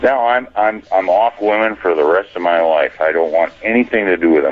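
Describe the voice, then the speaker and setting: Over noticeable background noise, a man with a fairly low pitch speaks at a moderate pace with lively intonation, very even loudness and hardly any pauses. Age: 60s. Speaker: caller. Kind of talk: phone-in call.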